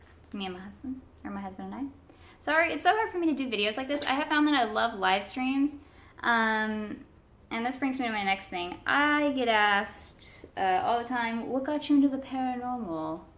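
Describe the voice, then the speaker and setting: A loud woman speaks at a fairly quick pace in a high pitch, with audible room echo around her. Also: lively intonation. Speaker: paranormal video creator. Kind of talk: casual vlog. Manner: halting, many fillers.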